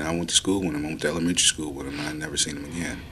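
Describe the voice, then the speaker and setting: Against noticeable background noise and audible room echo, a man with an American accent speaks at a very deep, low pitch with fairly even intonation. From Oakland, California. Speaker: communications staffer. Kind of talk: personal testimony. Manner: halting, repeats words.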